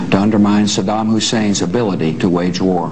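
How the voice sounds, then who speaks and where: A man talks at a fairly quick pace with fairly even intonation. His pitch is fairly low, and there is noticeable background noise. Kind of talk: formal televised address. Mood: grave, solemn. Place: office.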